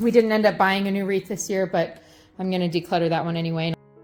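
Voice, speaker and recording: A woman's medium-pitched voice with an American accent and fairly even intonation, over music in the background. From Oregon. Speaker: mother of a large family. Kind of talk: casual voiceover narration of home video.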